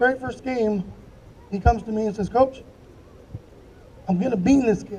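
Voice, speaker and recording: An extremely high-pitched man's voice with fairly even intonation, over noticeable background noise. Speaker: former youth baseball coach. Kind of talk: eulogy. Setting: memorial gathering.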